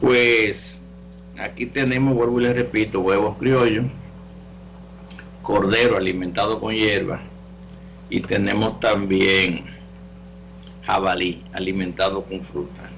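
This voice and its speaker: Delivered at a very slow pace with long, frequent pauses and very wide pitch swings, the speech carries audible room echo and noticeable background noise. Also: man, fairly low pitch for a man. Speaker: natural medicine doctor, radio call-in host. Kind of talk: call-in health show with announcements. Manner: casual, conversational.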